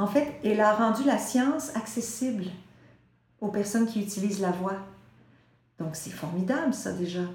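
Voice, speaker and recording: A woman with a Quebec accent speaks at a moderate pace and a fairly high pitch, her intonation lively. She leaves long, frequent pauses, and the room echo is audible. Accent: Québécois French. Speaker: voice teacher. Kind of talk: interview.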